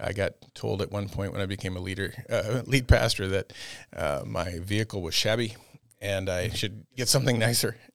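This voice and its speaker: A man with an American accent talks at a moderate pace in a fairly low pitch, his intonation fairly even, on a very clean recording with a silent background. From US Midwest (Iowa, Minneapolis area). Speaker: pastor. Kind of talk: casual interview.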